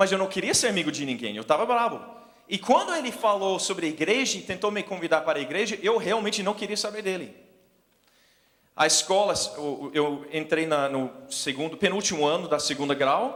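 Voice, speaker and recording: A man with a non-native accent speaks at a high pitch with lively intonation. His pace is moderate, and audible room echo is present. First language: English (speaking Portuguese). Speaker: missionary preacher. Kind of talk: sermon. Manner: halting.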